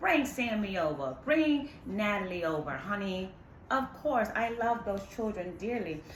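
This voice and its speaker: Over noticeable background noise and audible room echo, a woman talks at a fairly slow pace and medium pitch, her voice making very wide pitch swings. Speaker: tarot reader. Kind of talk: tarot reading. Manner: animated.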